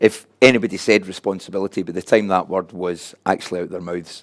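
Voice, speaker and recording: With a Glasgow accent, a man speaks at a very fast pace in a very deep, low voice. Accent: Scottish (Glasgow). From Scotland, Glasgow. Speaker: addiction recovery coordinator and speaker. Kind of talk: conference presentation. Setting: room with live and online audience.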